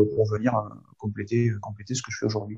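This man's voice comes across somewhat breathy. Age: 50s. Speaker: sophrologist. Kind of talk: interview. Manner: halting, with many repetitions.

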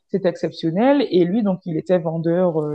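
A woman with a normal speaking voice, fairly low in pitch, at a fairly slow pace. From French Caribbean. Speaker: podcast guest sharing dating stories. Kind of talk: casual storytelling chat.

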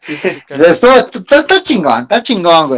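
A man with a Mexican accent talks at a fairly slow pace. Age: 30s. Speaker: podcast co-host. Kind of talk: casual chat.

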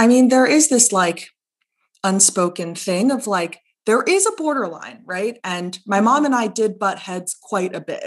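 In an American accent, a woman talks at a fairly slow pace with a fairly high pitch. Her intonation is lively, and she has a normal speaking voice. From Monterey County, California. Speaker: guest, program manager and activist. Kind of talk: casual chat.

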